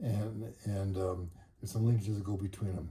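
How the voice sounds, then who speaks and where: His dark, mellow tone sits at a fairly low pitch, somewhat breathy. The man's intonation is monotone and flat. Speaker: motorcycle hobbyist. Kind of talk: tutorial. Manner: fast; halting.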